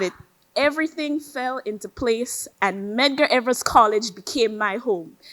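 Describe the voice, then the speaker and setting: With a Grenadian accent, a woman talks at a fairly slow pace in a high pitch, her intonation lively. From Grenada. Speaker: college student athlete. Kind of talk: speech.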